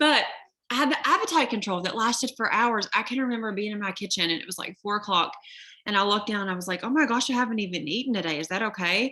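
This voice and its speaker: A woman's animated, fairly high voice in a Southern US accent, very fast and with lively intonation. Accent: noticeable Southern. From Kentucky. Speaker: network marketer. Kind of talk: sales pitch.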